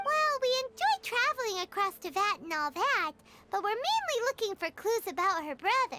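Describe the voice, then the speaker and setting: Music plays behind a squeaky, put-on character voice at an extremely high pitch, delivered at a moderate pace. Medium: video game. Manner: chatty, lively.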